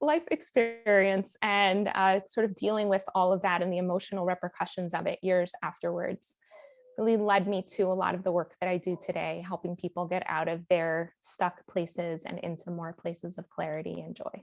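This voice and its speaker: Speaking at a moderate pace, a woman with an American accent has a normal speaking voice. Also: dry, close sound with no echo. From Miami, US. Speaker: life coach and author. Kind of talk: podcast interview.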